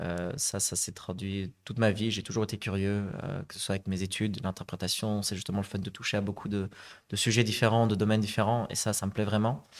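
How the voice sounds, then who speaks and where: Against a quiet background, a man talks at a fairly quick pace with a fairly low pitch and fairly even intonation. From Flanders, Belgium (Zaventem); Flanders, Belgium. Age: 30s. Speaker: real estate investor and conference interpreter; podcast guest. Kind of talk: interview. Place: studio. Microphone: studio mic.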